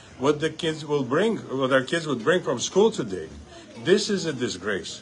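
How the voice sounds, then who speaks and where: Through noticeable background noise, a man speaks at a moderate pace with a fairly high pitch. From Uzbekistan. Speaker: congressional candidate. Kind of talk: campaign interview speech. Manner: animated.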